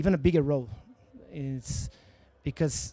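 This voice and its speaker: This man's voice sits fairly high and has a dark, mellow tone. His pitch varies in an ordinary way. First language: Portuguese. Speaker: company founder. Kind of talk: interview. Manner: halting.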